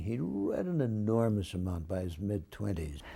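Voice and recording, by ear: A man's fairly low, dark and mellow voice with vocal fry and a slightly husky edge, at a fairly slow pace with lively intonation.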